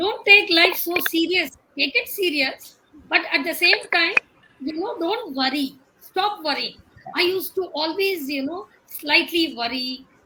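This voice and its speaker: At a fairly slow pace, a woman with an extremely high pitch uses lively intonation and a raised, projected voice. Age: old. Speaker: senior citizen panelist. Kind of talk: panel chat show interview.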